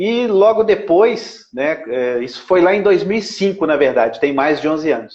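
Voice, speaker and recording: In an ordinary speaking voice, a man speaks fairly slowly with lively intonation. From Brazil, Belo Horizonte (Minas Gerais). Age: 50s. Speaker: lawyer and radio broadcaster, local political candidate. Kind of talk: interview. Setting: Instagram live video call.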